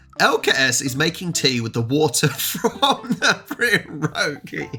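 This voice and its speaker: A man speaks with an English accent at a fairly slow pace. Noticeable background noise runs underneath. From England. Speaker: reaction YouTuber. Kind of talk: casual talk to camera.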